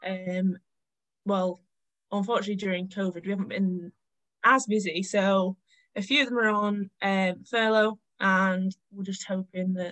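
A woman with a Lancashire accent speaks at a moderate pace in a medium pitch, her intonation monotone and flat, and the sound is dry and close with no echo. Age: 20s. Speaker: cafe owner. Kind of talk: casual interview.

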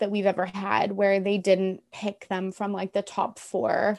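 A woman speaks in an ordinary speaking voice at a medium pitch, with a Canadian accent. Her pace is fairly slow, and the background is quiet. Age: 20s. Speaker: podcaster. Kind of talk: casual chat.

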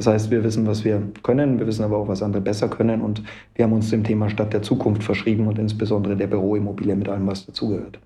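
The speech is very fast and monotone, with flat intonation. Room echo is audible and background noise is noticeable. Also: man, fairly low pitch for a man. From Munich, Bavaria. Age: 30s. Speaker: real estate developer. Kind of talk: interview. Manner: frequent filler sounds (ähm).

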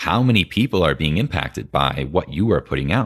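Recorded very cleanly with a silent background, a man with an American accent and vocal fry speaks at a moderate pace with very wide pitch swings. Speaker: podcast host. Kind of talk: casual conversation interview.

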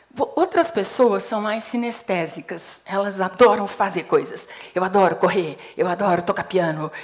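A woman speaks at a fairly slow pace with a medium pitch and lively intonation, over noticeable background noise. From Brazil, Paraná. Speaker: psychologist and HR consultant. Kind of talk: TEDx talk. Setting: stage with audience.

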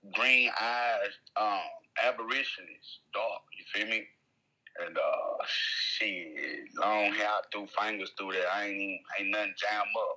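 A man talks with an American accent. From Houston, Texas. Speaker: rapper. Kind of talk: casual interview.

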